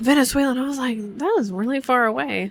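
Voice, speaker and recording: Using an unremarkable speaking voice with an American accent, a woman talks at a fairly quick pace with ordinary pitch variation. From Florida, Orlando area. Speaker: podcast co-host. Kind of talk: casual chat. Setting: aboard a cruise ship.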